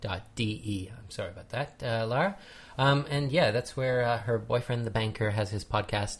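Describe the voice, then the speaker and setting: A man with a Canadian accent speaks at medium pitch and a moderate pace, sounding somewhat breathy. His pitch variation is ordinary, and the recording is very clean with a silent background. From Canada. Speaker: podcast host. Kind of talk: casual chat.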